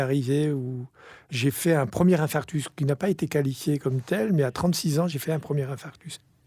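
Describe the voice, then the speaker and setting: A man speaks with a fairly high, somewhat breathy voice of dark, mellow tone and ordinary pitch variation. The recording is very clean, with a silent background. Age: 60s. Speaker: company executive. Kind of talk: interview testimony.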